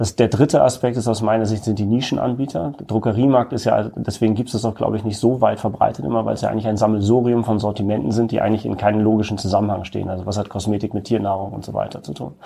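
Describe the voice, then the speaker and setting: A man's fairly low voice at a very fast pace, hardly any pauses, ordinary pitch variation, and noticeable background noise. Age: 30s. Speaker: retail executive. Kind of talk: interview.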